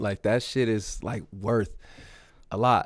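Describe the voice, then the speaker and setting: An unremarkable speaking voice from a man with an American accent, fairly low pitch and fairly even intonation, in a very clean recording with a silent background. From Milwaukee, Wisconsin, then Las Vegas from age 11. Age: 30s. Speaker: rapper. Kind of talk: casual chat. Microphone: studio condenser mic.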